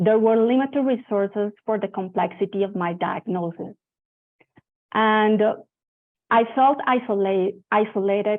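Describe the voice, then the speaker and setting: A woman with a Spanish accent speaks at a fairly high pitch and a moderate pace. Her intonation is fairly even, with long, frequent pauses. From Colombia (Bogota). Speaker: event host and moderator, cancer survivor. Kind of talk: scripted introduction to a panel session.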